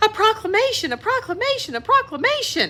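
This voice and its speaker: In a squeaky, put-on character voice, a woman talks fairly quickly at an extremely high pitch over light background noise. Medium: read story.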